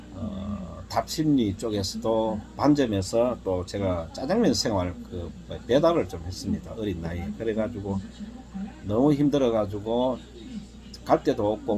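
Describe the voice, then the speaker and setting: This man's pitch is fairly low. He talks at a moderate pace with lively intonation. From South Korea, Daegu. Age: 60s. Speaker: life-story vlogger. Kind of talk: personal testimony. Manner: halting, many fillers.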